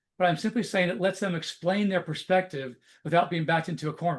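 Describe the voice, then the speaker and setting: A man talks at a very fast pace in a high voice. His pitch varies in an ordinary way against a quiet background. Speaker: corporate trainer. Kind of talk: webinar presentation. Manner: animated.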